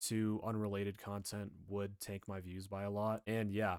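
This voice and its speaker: A fairly low-pitched man, dry and close with no echo, in a very clean recording with a silent background. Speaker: youtuber. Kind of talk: casual vlog commentary. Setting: webcam recording. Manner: monotone.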